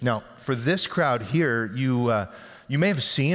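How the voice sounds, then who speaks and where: With a normal speaking voice, a man talks at a moderate pace and medium pitch, showing ordinary pitch variation. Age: 50s. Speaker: pastor. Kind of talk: sermon.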